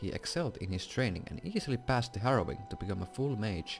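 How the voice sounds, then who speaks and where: A man with a Finnish accent, very fast and lively in intonation, with music in the background. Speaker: gaming YouTuber. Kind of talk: reading aloud. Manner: halting.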